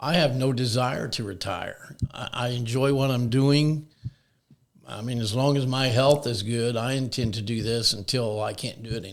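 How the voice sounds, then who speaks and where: With a plain, everyday voice, a man speaks at a medium pitch and moderate pace with fairly even intonation. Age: 60s. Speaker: shed business owner. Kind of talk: interview.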